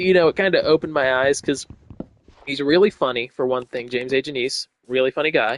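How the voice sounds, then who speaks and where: Talking at a very fast pace, a man speaks in a fairly high pitch with ordinary pitch variation. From US Midwest, Cincinnati, Ohio. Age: 20s. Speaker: gaming streamer. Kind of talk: casual gameplay commentary. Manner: casual, hesitant with repetitions.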